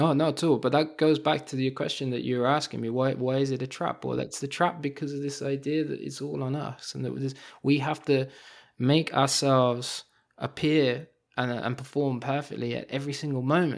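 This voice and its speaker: In a very clean recording with a silent background, a man with a London accent talks at a fairly quick pace and a fairly high pitch, his intonation flat and monotone. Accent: British (London). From London, England. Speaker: professor and author. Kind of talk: interview conversation. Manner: hesitant, fillers.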